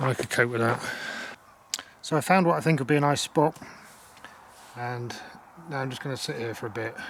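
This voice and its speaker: A man at medium pitch and a fairly quick pace, with ordinary pitch variation, long, frequent pauses and noticeable background noise. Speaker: solo hiking vlogger. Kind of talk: casual vlog narration. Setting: outdoors. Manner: quiet, hushed.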